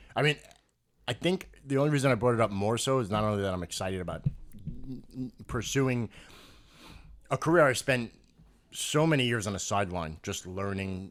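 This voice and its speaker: A man with a New York accent talks at a moderate pace and medium pitch, with lively intonation. He leaves long, frequent pauses. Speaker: podcast host. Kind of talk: casual chat.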